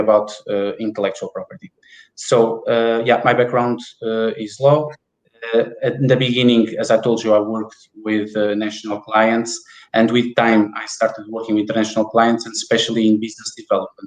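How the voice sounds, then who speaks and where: A man talks at a fairly quick pace and medium pitch with a Portuguese accent. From Portugal (Porto). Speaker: IP business development manager. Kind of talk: interview.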